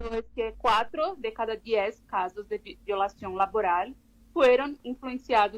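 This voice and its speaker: Pitched fairly high, a woman talks very slowly with a Portuguese accent. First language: Portuguese (speaking Spanish). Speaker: labor law researcher. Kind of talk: interview. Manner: halting.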